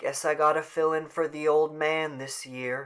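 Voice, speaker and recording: A man in a put-on character voice speaks at a moderate pace, his fairly high pitch held in a monotone, flat intonation. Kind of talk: rural folksy speech. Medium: read story. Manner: plain, resigned.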